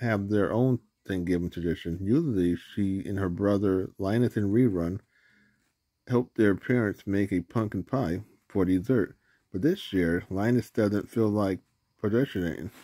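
In an ordinary speaking voice, a man talks at a fairly slow pace with ordinary pitch variation against a quiet background. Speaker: reader filming a picture book. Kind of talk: reading a story aloud. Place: home room. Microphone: phone near.

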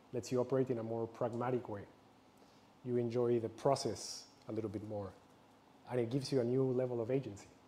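Very fast, monotone speech from a man with flat intonation and light background noise. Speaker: presenter. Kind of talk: public talk. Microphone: lapel.

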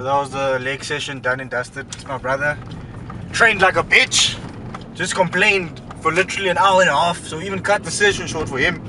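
A man at a fairly quick pace, dry sound with no echo, noticeable background noise behind him. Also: ordinary pitch variation. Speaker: fitness vlogger. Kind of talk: casual vlog chat. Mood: relaxed, joking. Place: car. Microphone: phone near.

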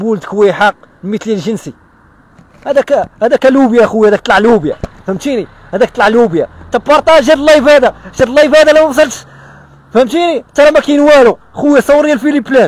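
A man's animated voice, extremely high-pitched, at a fairly quick pace, with lively intonation and a dry, echo-free sound. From Morocco, Casablanca. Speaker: local social media personality; interviewee. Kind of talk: street interview. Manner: fast. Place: street. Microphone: handheld.

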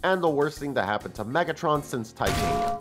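Music plays behind speech that runs at a fairly quick pace. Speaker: toy reviewer. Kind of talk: casual comedic review narration.

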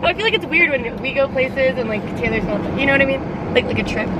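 Loud background noise plays while a woman speaks at a very fast pace. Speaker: vlogger driving. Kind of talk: casual vlog chat. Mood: giggly, upbeat. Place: car. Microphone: phone near.

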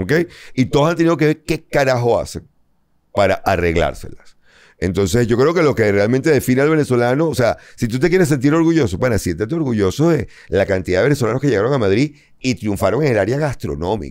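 Against a quiet background, a man talks at a very fast pace with very even loudness. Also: lively intonation. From Venezuela. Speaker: comedian. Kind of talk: casual chat. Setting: studio. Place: studio.

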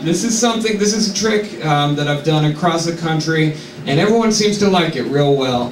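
A man is speaking over light background noise. Audible room echo surrounds his voice. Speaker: comedian. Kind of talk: stand-up comedy bit.

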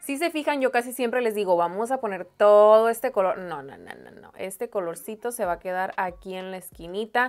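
A woman's voice at a fairly quick pace with ordinary pitch variation. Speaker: makeup vlogger. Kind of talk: tutorial. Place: home room.

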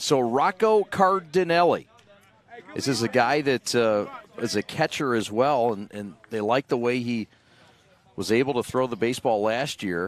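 A man talks at a moderate pace, the sound dry with no echo and light background noise behind him. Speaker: play-by-play announcer. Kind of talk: sports commentary. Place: stadium. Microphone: headset.

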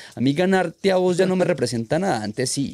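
A man's voice at a moderate pace, dry and without any echo. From Colombia. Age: 30s. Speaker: freestyle motocross rider; podcast guest. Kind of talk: casual chat. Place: studio. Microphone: studio mic.

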